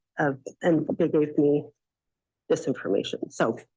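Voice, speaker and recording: The voice is soft-spoken, at a moderate pace. Its pitch varies in an ordinary way. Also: woman. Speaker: public commenter at county board meeting. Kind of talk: public comment at government meeting. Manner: hesitant, many fillers.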